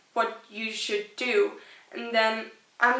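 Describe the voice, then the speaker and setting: Very slowly, a woman speaks at a fairly high pitch. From rural Austria. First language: German. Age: young. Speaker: YouTuber. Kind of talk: casual vlog talk.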